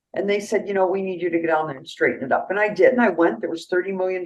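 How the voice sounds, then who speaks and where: A woman speaks at a fairly low pitch. Her pitch variation is ordinary. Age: 70s. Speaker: county treasurer, politician. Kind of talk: radio interview.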